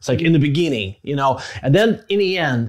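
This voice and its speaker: A man with a Russian accent at a fairly quick pace, very wide pitch swings, quiet background. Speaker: podcast host. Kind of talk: casual interview; conversational podcast talk. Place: home room. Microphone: lapel.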